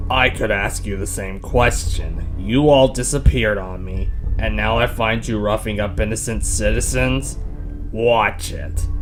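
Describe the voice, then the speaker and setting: At a moderate pace, someone speaks in a put-on character voice against clear background noise. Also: man. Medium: audio drama. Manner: calm.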